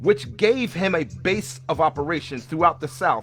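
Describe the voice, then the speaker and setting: Over music in the background, a man with a fairly high pitch talks at a moderate pace with lively intonation. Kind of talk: biographical history narration.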